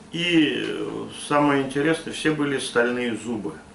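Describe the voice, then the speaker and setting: Someone talks at a very slow pace amid noticeable background noise and audible room echo. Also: man. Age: 60s. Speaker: Cossack elder. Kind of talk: interview. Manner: halting.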